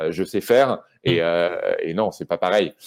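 A man speaks in a dark, mellow tone. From Normandy, France (Rouen). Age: 30s. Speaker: journalist and author. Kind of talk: casual interview. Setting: video call from his house in Brittany. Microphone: poor connection, pixelated video.

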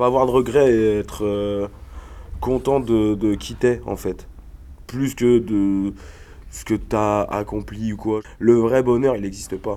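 A man's fairly low, dark, mellow voice moves at a very slow pace with fairly even intonation and long, frequent pauses. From rural Ain, eastern France. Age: 30s. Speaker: rapper. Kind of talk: interview.

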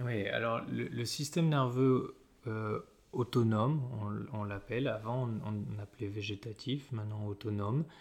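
His voice is somewhat breathy and shows ordinary pitch variation. The man speaks at a fairly slow pace. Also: medium pitch for a man, very clean recording, silent background. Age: 30s. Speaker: osteopath. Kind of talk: casual interview. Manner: halting, many repetitions and fillers.

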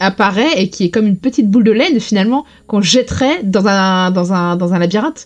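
Talking at a moderate pace, a woman uses a plain, everyday voice with ordinary pitch variation. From Lorraine, France. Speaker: podcast guest, TV series fan. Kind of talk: casual chat.

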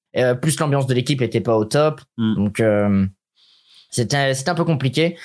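A man talks at a fairly quick pace with lively intonation on a very clean recording with a silent background. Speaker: streamer and former esports player. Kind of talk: casual interview. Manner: fast, sometimes stumbling.

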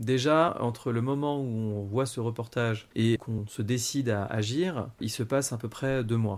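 A man talks at a fairly slow pace in an ordinary speaking voice, medium in pitch with ordinary pitch variation and hardly any pauses. The recording is very clean, with a silent background. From Paris, France. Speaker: adoptee telling his story. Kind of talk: personal testimony interview.

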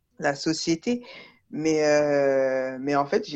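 Music sounds behind the speaker. The delivery is very slow. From France. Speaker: underwater archaeologist. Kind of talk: casual interview. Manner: halting, many fillers.

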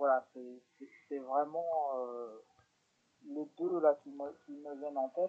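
Using a dark, mellow tone at a fairly high pitch, a man speaks at a very slow pace with long, frequent pauses and big swings in loudness. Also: fairly even intonation. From France, Lyon. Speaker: psychomotor therapist and charity founder. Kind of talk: radio interview. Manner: halting.

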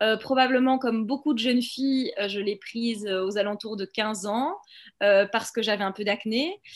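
An ordinary speaking voice from a woman, fairly high in pitch, at a moderate pace with ordinary pitch variation. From Belgium. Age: 30s. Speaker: documentary filmmaker. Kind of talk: interview.

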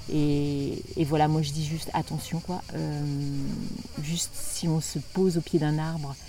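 Speaking at a fairly slow pace, a woman uses a very deep, low pitch and a monotone, flat intonation. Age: 50s. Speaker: dance workshop leader. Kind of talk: interview. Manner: halting.

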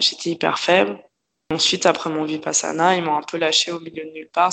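A woman talks at a fairly quick pace. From France, Paris. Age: 20s. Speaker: yoga teacher. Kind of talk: personal testimony interview. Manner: calm, detached. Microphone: poor sound quality.

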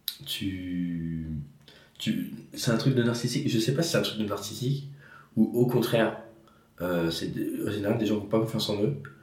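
Moderate pace from a man, ordinary pitch variation, and audible room echo. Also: long, frequent pauses. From France, Yonne. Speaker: podcast host and comedian. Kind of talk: casual chat. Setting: at guest's home.

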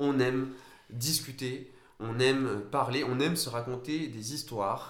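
Amid noticeable background noise and audible room echo, the speech comes at a fairly slow pace with ordinary pitch variation. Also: man. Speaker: football podcast co-host. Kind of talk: casual chat.

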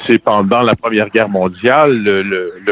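Over noticeable background noise, a man with a fairly low pitch speaks at a very slow pace with ordinary pitch variation. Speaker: singer-songwriter. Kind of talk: interview. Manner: halting.

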